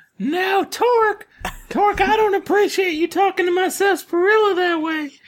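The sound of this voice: A man's put-on character voice, squeaky and extremely high-pitched, at a moderate pace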